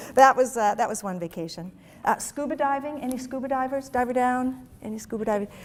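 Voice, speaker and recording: In a very clean recording with a silent background, a high-pitched woman speaks at a fairly quick pace, with big swings in loudness and ordinary pitch variation. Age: 60s. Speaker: HR executive giving a talk. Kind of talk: presentation to an audience. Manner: conversational with frequent fillers.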